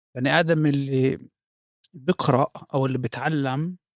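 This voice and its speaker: A man with a fairly high pitch talks at a fairly slow pace with fairly even intonation, in a dry, close sound with no echo. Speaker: podcast host. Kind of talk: interview question.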